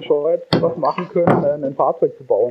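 Over noticeable background noise, a man speaks with a high pitch. His pace is fairly quick and his intonation fairly even. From Baden, Karlsruhe. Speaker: engineer and startup founder. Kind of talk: interview. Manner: hesitant, many fillers.

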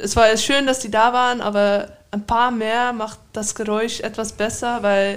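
Someone speaks in a Dutch accent at a fairly slow pace. The intonation stays monotone and flat. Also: woman. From Netherlands. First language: Dutch (speaking German). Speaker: professional handball player. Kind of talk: interview.

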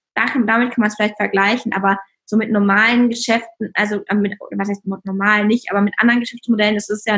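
Fairly quick and with hardly any pauses, a woman speaks at a fairly high pitch in a monotone, flat intonation. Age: 20s. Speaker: app founder. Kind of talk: interview.

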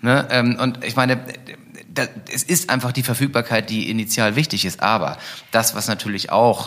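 The man speaks at a medium pitch, and his pitch varies in an ordinary way. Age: 40s. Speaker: e-scooter company founder. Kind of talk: interview. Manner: hesitant, many fillers.

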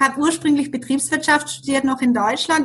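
Bright and sharp in tone, a woman speaks at a high pitch with ordinary pitch variation. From Germany. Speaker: business coach. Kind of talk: interview.

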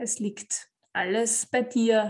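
The woman speaks with a fairly high pitch. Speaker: podcast host, life coach. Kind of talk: motivational monologue.

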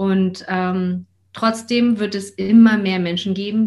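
A woman speaks at a very slow pace in a somewhat breathy, medium-pitched voice. Her intonation stays fairly even. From Hamburg, northern Germany. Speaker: coach and mother. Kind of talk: interview.

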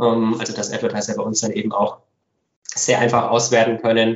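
A man speaks at a medium pitch. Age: 30s. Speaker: company founder and managing director. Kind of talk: podcast interview. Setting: home office.

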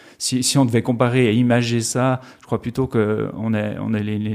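This is a man's voice. He delivers everything in a monotone with flat intonation. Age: 40s. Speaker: festival finance director. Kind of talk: interview. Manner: hesitant, many fillers and repetitions.

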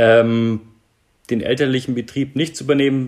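At a moderate pace, a man with an ordinary speaking voice talks with fairly even intonation. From Germany, Nuremberg (Franconia). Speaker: airline pilot and startup investor. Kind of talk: interview.

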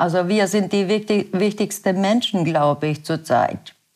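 A woman with a Bosnian accent speaks at a fairly low pitch. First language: Bosnian (speaking German). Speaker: works council chair. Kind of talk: interview. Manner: halting.

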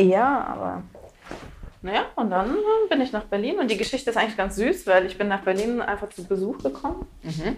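A woman's medium-pitched voice moves at a moderate pace with lively intonation, while noticeable background noise sits behind it. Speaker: stand-up comedian. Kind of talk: casual chat. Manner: calm.

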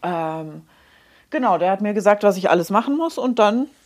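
A woman speaks at a moderate pace and a medium pitch in a plain, everyday voice. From Munich. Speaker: hairdresser and make-up artist, podcast co-host. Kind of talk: casual chat.

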